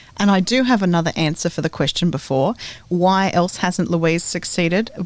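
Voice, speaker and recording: With an Australian accent, a woman talks at a moderate pace with a fairly low pitch, ordinary pitch variation and very even loudness. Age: 40s. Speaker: podcast co-host. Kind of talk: casual chat.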